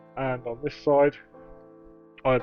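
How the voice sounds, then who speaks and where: A man speaks at a medium pitch with music playing in the background. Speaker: model railway hobbyist. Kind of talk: casual tutorial talk to camera.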